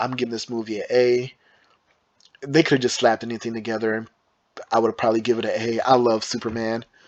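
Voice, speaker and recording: In an American accent, a man talks at a fairly quick pace and medium pitch with monotone, flat intonation. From Michigan, US. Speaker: movie reviewer. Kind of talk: casual monologue ranking movies. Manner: halting, stumbling over words.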